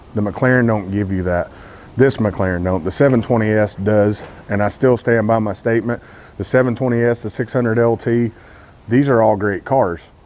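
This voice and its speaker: Noticeable background noise behind a man with a Texas accent, fairly low in pitch, at a moderate pace with fairly even intonation. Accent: Texas accent, self-described as messed up. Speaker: car YouTuber. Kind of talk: casual vlog talk to camera. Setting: outdoors, cold morning.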